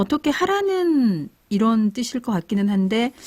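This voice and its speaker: A woman with a somewhat breathy voice speaks at a fairly slow pace with lively intonation. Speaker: radio host. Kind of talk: radio program hosting.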